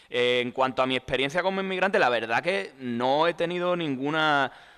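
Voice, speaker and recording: Bright, sharp tone with lively intonation at a moderate pace, in a very clean recording with a silent background. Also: man. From Spain, Andalusia (Tomares, Seville). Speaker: journalist and author. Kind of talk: book presentation interview. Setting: book fair talk with audience.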